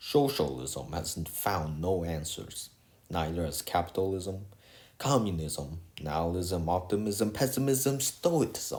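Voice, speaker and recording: A man with a non-native accent and a very deep, low pitch talks at a fairly slow pace. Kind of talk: casual video essay talk. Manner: hesitant, rambling.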